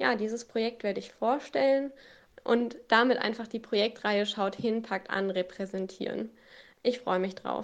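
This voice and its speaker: This is an ordinary speaking voice. It has ordinary pitch variation and a moderate pace. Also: woman, fairly high pitch for a woman. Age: 20s. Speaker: student and scout leader. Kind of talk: interview.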